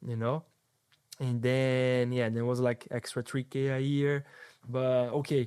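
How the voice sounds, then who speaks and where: His accent is Portuguese. The speaker here is a man. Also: very clean recording, silent background. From Brazil, São Paulo. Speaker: soccer agent. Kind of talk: casual chat.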